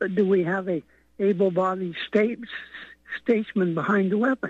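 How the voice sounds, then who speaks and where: At a moderate pace, a man with an American accent talks in a high voice. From Utah. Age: 80s+. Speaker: caller. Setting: phone call.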